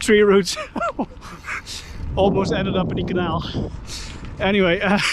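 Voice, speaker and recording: A man with a Dutch accent and fairly even intonation, set against noticeable background noise. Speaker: YouTuber, cyclist. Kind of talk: vlog narration while cycling. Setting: outdoors on a bike. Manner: casual, filler-heavy.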